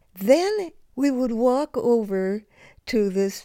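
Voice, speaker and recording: Dark, mellow tone with lively intonation and an American accent, captured in a very clean recording against a silent background. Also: woman. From US West Coast, Los Angeles. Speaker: photographer. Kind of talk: interview, reminiscing. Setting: at home on her couch. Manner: halting, with restarts.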